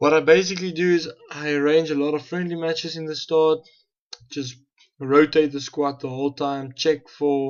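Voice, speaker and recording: Delivered with a South African accent, the speech runs at a moderate pace in a monotone, flat intonation. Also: man. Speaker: gaming YouTuber. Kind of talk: gameplay commentary.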